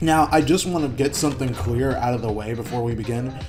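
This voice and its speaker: Music in the background and audible room echo behind a medium-pitched man at a fairly quick pace, his intonation fairly even. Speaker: gaming YouTuber. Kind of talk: video essay commentary. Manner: monotone; soft-spoken.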